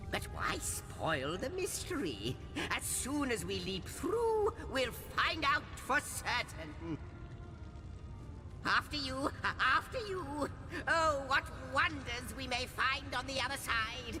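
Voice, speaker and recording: In a put-on character voice with a theatrical tone, the speaker moves at a fairly slow pace over loud background noise. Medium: video game. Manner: theatrical, fussy.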